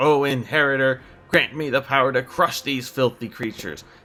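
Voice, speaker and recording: Using a gruff, put-on character voice, a man speaks at medium pitch and a moderate pace. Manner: yelling.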